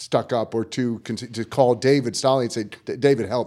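Recorded very cleanly against a silent background, a man speaks at a moderate pace in a normal speaking voice. His medium pitch holds a fairly even intonation. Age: 50s. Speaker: tennis coach, podcast co-host. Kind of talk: podcast conversation.

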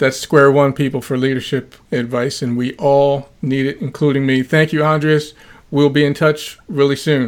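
This man has an unremarkable speaking voice, pitched fairly high. He keeps a moderate pace and fairly even intonation. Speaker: podcast host; former law enforcement officer. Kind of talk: interview.

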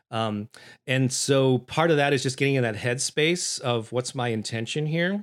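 A man speaks at medium pitch and a moderate pace. The recording is very clean, with a silent background. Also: ordinary pitch variation. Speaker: voice talent and musician. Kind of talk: interview conversation. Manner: energized; halting.

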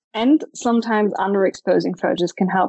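A woman speaks in a German accent with fairly even intonation. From Germany, Stuttgart. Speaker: photographer. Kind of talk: interview.

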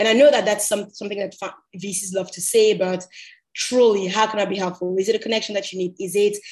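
Talking at a very fast pace, a woman uses a medium pitch and fairly even intonation. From Cameroon. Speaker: MBA student and entrepreneur. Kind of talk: podcast interview. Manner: many filler words.

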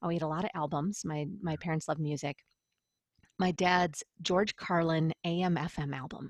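An ordinary speaking voice from a woman with an American accent, fairly low in pitch, with fairly even intonation, a moderate pace and a quiet background. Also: dry, close sound with no echo. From Western New York (Buffalo area). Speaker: business coach and audio producer. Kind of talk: interview.

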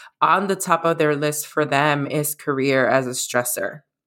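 In a very clean recording with a silent background, a woman with an American accent speaks fairly slowly in a very deep, low voice, her tone bright and sharp and her pitch variation ordinary. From US Northeast, the Bronx, New York. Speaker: health coach. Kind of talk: interview conversation.

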